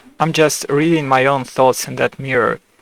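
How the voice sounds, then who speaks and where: The sound is dry and close with no echo as a man speaks with a non-native accent. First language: not English. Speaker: video creator sharing AI chats. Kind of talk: casual commentary. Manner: halting, many fillers and restarts.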